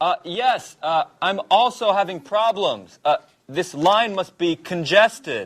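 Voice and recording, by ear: A man does a put-on character voice, high-pitched with a fairly bright tone. He speaks slowly with lively intonation.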